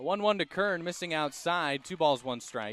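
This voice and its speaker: An ordinary speaking voice with lively intonation moves at a moderate pace in a dry, close sound with no echo. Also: man. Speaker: sports play-by-play announcer. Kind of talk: radio sports play-by-play.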